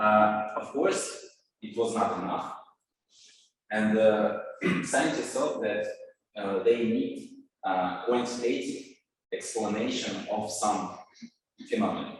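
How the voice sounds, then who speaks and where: Audible room echo surrounds a man who speaks at a very slow pace with long, frequent pauses. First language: Russian. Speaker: scientist. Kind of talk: lecture. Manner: halting, many filler words.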